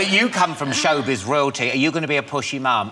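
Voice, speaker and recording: A man races through his words at a very fast pace, pitch varying in an ordinary way, while music plays in the background. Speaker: talk show host. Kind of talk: talk show banter. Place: studio.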